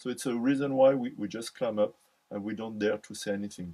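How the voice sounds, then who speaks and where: Delivered at a fairly quick pace, the voice has a dark, mellow tone and a French accent. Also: man. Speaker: psychology speaker. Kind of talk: lecture. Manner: halting, many fillers and repetitions.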